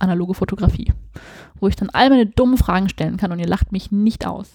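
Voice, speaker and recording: Her tone is dark and mellow, and she speaks at a medium pitch for a woman. The pace is fairly quick, with fairly even intonation. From Hesse, near Frankfurt. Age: 20s. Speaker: fashion and portrait photographer. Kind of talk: casual chat. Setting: home living room.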